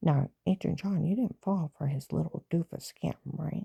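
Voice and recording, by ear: A woman speaks at a low pitch and a moderate pace, in a dark, mellow tone. Her voice has a husky, rough edge and vocal fry. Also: ordinary pitch variation, dry, close sound with no echo.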